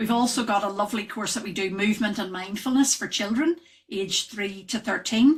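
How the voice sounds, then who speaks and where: A woman with a Northern Irish accent, medium in pitch, somewhat breathy, with ordinary pitch variation. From Northern Ireland. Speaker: wellness trainer, yoga and breathwork teacher. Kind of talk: podcast interview. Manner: hesitant, many fillers.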